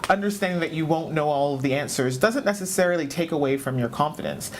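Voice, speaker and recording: A woman speaks with a Canadian accent. Noticeable background noise and audible room echo are present. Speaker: business leader. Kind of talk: interview.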